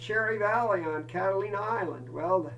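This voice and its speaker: With noticeable background noise behind him, a high-pitched man speaks at a moderate pace with lively intonation. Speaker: scout camp director. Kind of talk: campfire storytelling. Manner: casual, warm.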